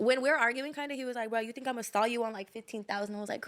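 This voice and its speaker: Speaking very fast, a woman uses a fairly high-pitched voice. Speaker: storyteller recounting personal drama. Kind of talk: casual chat.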